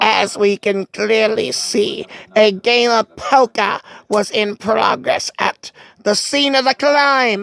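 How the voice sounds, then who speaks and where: Putting on a character voice, a woman speaks at a fairly high pitch. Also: fairly slow pace, very even loudness. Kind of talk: fan dub of game text. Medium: solo performance. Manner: formal, smug.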